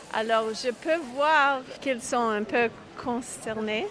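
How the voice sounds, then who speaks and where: Noticeable background noise sits behind a woman with a fairly high pitch. She talks at a very slow pace. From Quebec (Montreal). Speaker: rabbi. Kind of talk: interview. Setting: outdoors.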